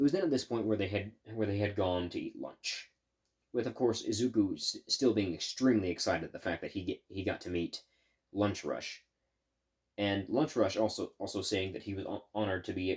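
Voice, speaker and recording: A somewhat breathy man with a fairly low pitch, ordinary pitch variation, and a fairly quick pace, on a very clean recording with a silent background. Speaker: YouTuber. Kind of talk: fan fiction storytelling. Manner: halting.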